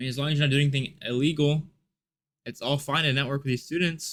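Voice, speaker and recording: This man's voice sits at a fairly high pitch. The intonation he uses is fairly even. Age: young. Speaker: YouTuber and college student. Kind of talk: vlog rant. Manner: casual with frequent fillers.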